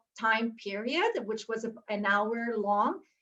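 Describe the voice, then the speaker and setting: A woman talks at a fairly slow pace. Her pitch sits fairly high. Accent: Quebec. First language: French. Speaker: university instructor. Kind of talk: panel discussion on video call. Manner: halting, with many fillers.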